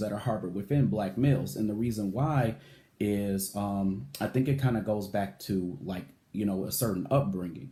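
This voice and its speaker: A man's fairly low, dark, mellow voice, somewhat breathy, with lively intonation at a moderate pace. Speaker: vlogger and writer. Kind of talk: personal vlog monologue. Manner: energetic; hesitant, many fillers.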